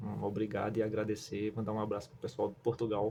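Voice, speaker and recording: At a moderate pace, a man speaks in a fairly low, dark, mellow voice that is somewhat breathy, with monotone, flat intonation. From Northeast Brazil. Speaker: YouTuber, construction worker. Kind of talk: tutorial. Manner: casual, filler-heavy.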